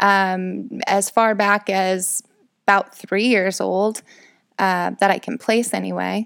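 Recorded very cleanly against a silent background, a woman speaks at a fairly slow pace with a medium pitch. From rural Illinois, US Midwest. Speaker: podcaster. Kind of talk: casual monologue. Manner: rambling with fillers.

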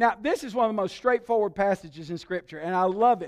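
Recorded very cleanly against a silent background, a man with a high voice speaks in a Southern US accent with a dry, close sound and no echo. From Alabama. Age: 60s. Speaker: pastor. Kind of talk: sermon.

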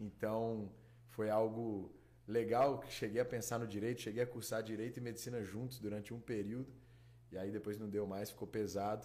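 A man's medium-pitched voice with a dark, mellow tone, monotone, flat intonation and a moderate pace. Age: 20s. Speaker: doctor. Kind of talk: casual interview.

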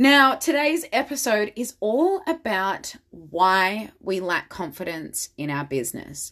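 A woman speaks slowly at medium pitch, with ordinary pitch variation and a fairly bright tone.

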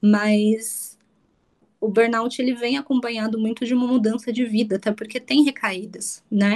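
A somewhat breathy woman talks at a moderate pace with a fairly high pitch and fairly even intonation. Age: 20s. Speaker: entrepreneur, burnout patient. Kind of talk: testimony interview.

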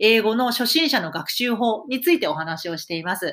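Pitched fairly high, a woman's bright, sharp voice makes very wide pitch swings at a moderate pace. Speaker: English teacher podcaster. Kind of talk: solo podcast monologue.

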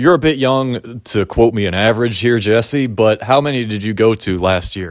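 With an American accent and an ordinary speaking voice, a man talks at medium pitch and a moderate pace, with ordinary pitch variation and hardly any pauses, in a very clean recording with a silent background. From Pittsburgh, US. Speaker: podcast host. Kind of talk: casual interview.

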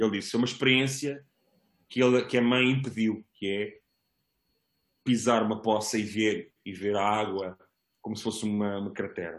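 Here a man speaks at a fairly low pitch and moderate pace with fairly even intonation. Long, frequent pauses break up his speech. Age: 40s. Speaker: parent guest. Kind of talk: casual chat. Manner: halting.

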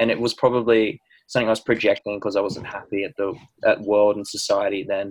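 With an Australian accent, the speaker moves along at a fairly quick pace. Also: man. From New Zealand. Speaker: podcast host. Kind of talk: podcast interview.

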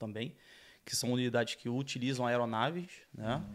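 The recording is very clean, with a silent background, as a man with a medium pitch talks at a moderate pace. He has an unremarkable speaking voice and fairly even intonation. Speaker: former police officer. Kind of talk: casual chat.

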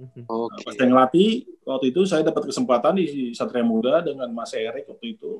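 In an ordinary speaking voice, a man talks at a fairly high pitch and fairly quick pace. His intonation is lively, with big swings in loudness. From Manado, North Sulawesi, Indonesia. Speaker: basketball coach. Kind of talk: casual interview.

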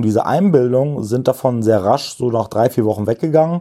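A dark, mellow tone with lively intonation. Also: man. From Germany, Kreis Gütersloh (Westphalia). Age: 30s. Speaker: recovering addict, peer support activist. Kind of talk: personal testimony interview.

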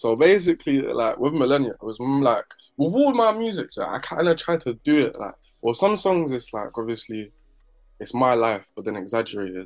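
Speaking at a moderate pace in a London accent, a man with a fairly high pitch makes very wide pitch swings. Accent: London English, multicultural London. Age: 20s. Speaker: rapper. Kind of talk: casual chat.

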